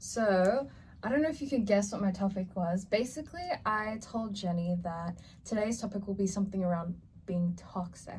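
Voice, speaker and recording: A woman speaks with an American accent. Her voice is medium-pitched and somewhat breathy. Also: ordinary pitch variation, moderate pace. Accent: American-sounding. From Australia. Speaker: podcast co-host. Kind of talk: casual chat.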